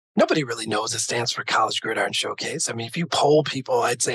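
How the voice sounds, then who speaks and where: A man at a very fast pace in a dry, close sound with no echo. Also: hardly any pauses. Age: 50s. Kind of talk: interview. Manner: animated.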